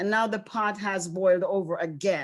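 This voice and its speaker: This woman talks at moderate speed, her pitch varying by an ordinary amount. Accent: Caribbean. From Caribbean islands. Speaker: school district leader. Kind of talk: panel talk.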